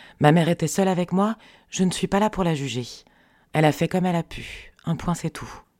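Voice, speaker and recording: On a very clean recording with a silent background, a woman talks fairly quickly at a fairly low pitch with ordinary pitch variation and long, frequent pauses, the sound dry and close with no echo. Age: 40s. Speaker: podcast creator. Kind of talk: personal narration.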